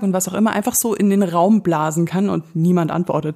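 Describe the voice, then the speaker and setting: Her medium-pitched voice carries an animated tone as this woman talks at a fairly quick pace. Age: 30s. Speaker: podcast host. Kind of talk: casual monologue.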